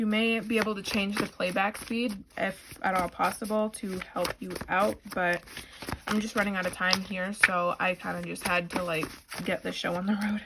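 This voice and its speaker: A woman with an American accent speaks at a medium pitch in a flat, monotone way over noticeable background noise. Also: moderate pace. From Boston. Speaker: tarot reader. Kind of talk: tarot reading.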